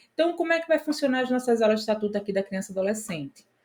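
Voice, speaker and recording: This woman's somewhat breathy voice carries a dark, mellow tone. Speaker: exam prep teacher. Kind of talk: lecture.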